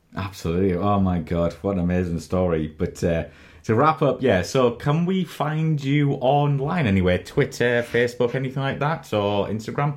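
With a British accent, a man at medium pitch speaks at a moderate pace with very wide pitch swings over a quiet background. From United Kingdom. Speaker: podcast host. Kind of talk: interview.

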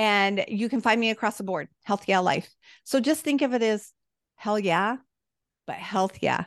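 In an American accent, a woman with an unremarkable speaking voice and a fairly high pitch talks at a fairly slow pace with ordinary pitch variation against a quiet background. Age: 50s. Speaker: nutrition health coach and cancer survivor. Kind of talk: interview.

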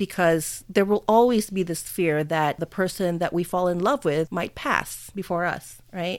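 A woman speaks in a plain, everyday voice with an American accent, fairly low in pitch, at a moderate pace with ordinary pitch variation. The recording is very clean, with a silent background. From Philippines, Manila, then US from early teens. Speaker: podcast co-host, widow. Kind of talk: casual chat.

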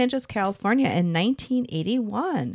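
On a very clean recording with a silent background, a woman with an American accent talks at a fairly quick pace with lively intonation. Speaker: podcast host. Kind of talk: casual chat between friends, podcast.

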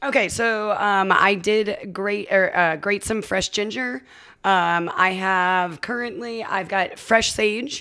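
Loud and very slow, a woman with an American accent speaks at a medium pitch in a bright, sharp tone. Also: ordinary pitch variation, very clean recording, silent background. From Las Vegas, Nevada. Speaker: bartender. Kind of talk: casual chat. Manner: animated.

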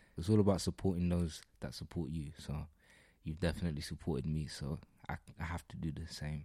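With vocal fry and a dark, mellow tone, a man speaks at a very deep, low pitch and fairly even intonation. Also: fairly quick pace. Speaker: actor. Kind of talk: casual interview chat.

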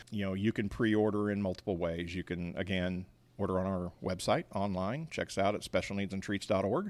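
A man with an American accent speaks at a fairly quick pace, with a fairly low pitch and fairly even intonation, in an ordinary speaking voice. The recording is very clean, with a silent background. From Missouri, Kansas City area. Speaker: nonprofit bakery founder. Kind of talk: interview. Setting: at the bakery.

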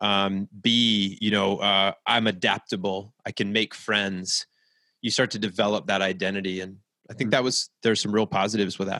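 In a very clean recording with a silent background and a dry, close sound with no echo, a man with an American accent speaks at a moderate pace and fairly low pitch, his bright, sharp tone delivered in a flat monotone. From US, military family moving around. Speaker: author, speaker and coach. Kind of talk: casual interview.

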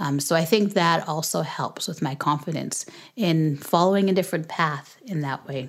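In an ordinary speaking voice, a woman talks at a moderate pace. Her pitch is fairly low, with ordinary variation. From Canada and Jamaica. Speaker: podcast host, homeschooling parent. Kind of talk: casual Q&A interview; casual closing remarks.

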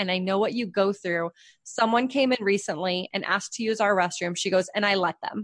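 In an ordinary speaking voice with ordinary pitch variation, the speaker goes at a fairly quick pace against a quiet background. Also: woman. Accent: American. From New Hampshire, US. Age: 30s. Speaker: podcast host and writer. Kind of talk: casual interview.

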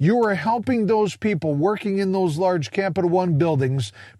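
Against a quiet background, the delivery is animated, with very wide pitch swings. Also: man. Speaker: podcast host. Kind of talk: casual monologue. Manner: humorous.

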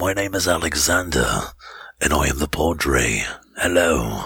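A man puts on a raspy character voice in an English accent, very deep in pitch and delivered at a fairly slow pace. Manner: dark, ominous.

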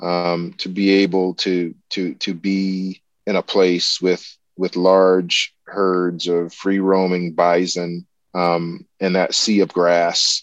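Speaking with a South Carolina accent, a man talks very slowly in a monotone, flat intonation at a very deep, low pitch against a quiet background. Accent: Southern US (South Carolina). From US South, rural South Carolina. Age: 50s. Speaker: ornithologist and professor. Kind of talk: interview conversation. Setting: remote call.

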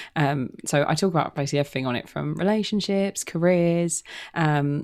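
A woman with a London accent and a fairly low pitch speaks at a moderate pace in a dark, mellow tone, in a very clean recording with a silent background. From London, England. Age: 20s. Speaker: podcaster. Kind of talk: casual chat. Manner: halting, many fillers and repeats.

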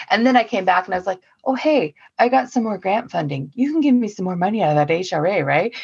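Using very wide pitch swings, a woman with an American accent talks at a very fast pace. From US, Oregon. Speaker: council energy officer. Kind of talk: casual chat.

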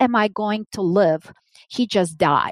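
With a Russian accent, a woman at a fairly high pitch talks with lively intonation, her sound dry and close with no echo. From Soviet Union. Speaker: business executive. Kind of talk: interview.

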